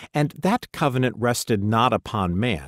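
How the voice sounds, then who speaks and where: In an unremarkable speaking voice, a man talks at a moderate pace with lively intonation, and the sound is dry and close with no echo on a very clean recording with a silent background. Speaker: audiobook narrator. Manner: measured, formal, reverent.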